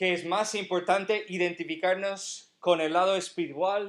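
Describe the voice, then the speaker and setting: A man's high-pitched voice in an American accent, fairly slow, with fairly even intonation. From United States. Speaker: pastor. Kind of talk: sermon.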